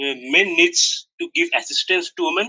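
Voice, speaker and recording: A man talks at a moderate pace with a Bangladeshi accent. The sound is dry and close, with no echo. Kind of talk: heated debate.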